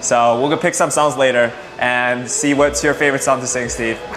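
The man's intonation stays fairly even. Light background noise can be heard. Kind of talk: guided tour talk. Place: cafe. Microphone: lapel.

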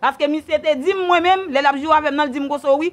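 A woman speaks at an extremely high pitch. Her pitch variation is ordinary. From Haiti. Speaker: bereaved relative interviewed; interviewee. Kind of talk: testimony. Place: home room. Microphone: lapel.

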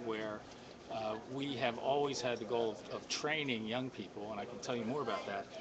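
Against noticeable background noise, a man's medium-pitched voice keeps fairly even intonation. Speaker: filmmaker. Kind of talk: interview.

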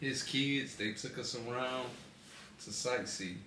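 A man speaks with audible room echo. Light background noise sits behind him. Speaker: vlogger. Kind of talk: casual chat. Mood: relaxed, storytelling. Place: home room. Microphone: phone near.

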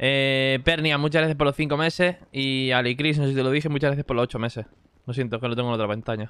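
Noticeable background noise sits behind a man speaking at a medium pitch. His pace is very fast and his intonation fairly even. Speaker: streamer playing roleplay game. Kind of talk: live gaming stream chat.

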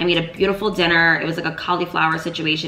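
A woman talks very fast with fairly even intonation. Light background noise and audible room echo are present. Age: 20s. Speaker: lifestyle YouTuber. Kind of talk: storytime vlog. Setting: home video recording. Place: home room.

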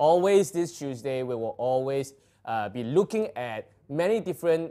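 A man's voice with a dark, mellow tone. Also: quiet background. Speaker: livestream host. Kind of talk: casual livestream hosting chat. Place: shop.

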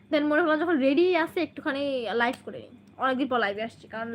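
In an animated, bright and sharp tone, a woman speaks with ordinary pitch variation. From Bangladesh, Kushtia. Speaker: vlogger. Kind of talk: livestream chat with viewers.

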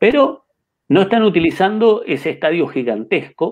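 A man speaks with a Uruguayan accent. The background is quiet. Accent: Uruguayan Rioplatense Spanish. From Uruguay, Carmelo. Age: 50s. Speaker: chess master and federation president; interviewee. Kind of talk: interview. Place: home room. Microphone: webcam.

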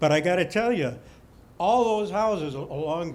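Lively intonation with audible room echo. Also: man. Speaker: resident speaking at town hall. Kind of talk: public comment at town hall. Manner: loud, projecting; halting, repeated words.

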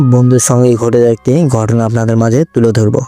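With music playing behind him, a man talks in a medium-pitched voice. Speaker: radio jockey, horror story narrator. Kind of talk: horror story narration.

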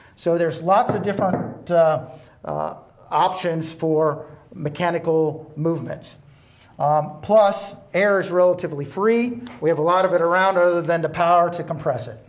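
Moderate speed and ordinary pitch movement. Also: man, high pitch for a man. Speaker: presenter. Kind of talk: tutorial. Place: studio. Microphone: lapel.

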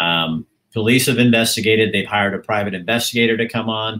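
A man's bright, sharp voice at a moderate pace with ordinary pitch variation. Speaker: livestream host. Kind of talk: livestream introduction. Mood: earnest, concerned. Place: home room. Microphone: webcam.

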